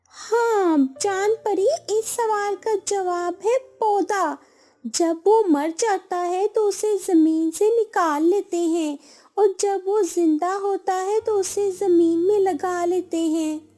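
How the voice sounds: A cartoonish character voice from a woman, extremely high in pitch and fairly slow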